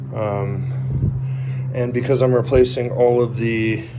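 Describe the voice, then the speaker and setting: A man is speaking, and background noise is noticeable behind him. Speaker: car hobbyist. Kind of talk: casual walkaround talk to camera.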